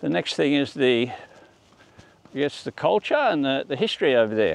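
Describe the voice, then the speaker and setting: A man with an Australian accent talks at a moderate pace. His pitch is fairly high and his intonation lively. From Australia, Melbourne. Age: 60s. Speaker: vlogger. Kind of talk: casual vlog monologue. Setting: outdoors on a walk. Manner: halting.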